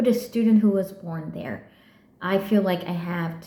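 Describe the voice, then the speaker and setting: Ordinary pitch variation in a Vietnamese accent, with audible room echo. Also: woman. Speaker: PhD student vlogger. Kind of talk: personal vlog monologue. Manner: halting, with frequent repetitions and fillers.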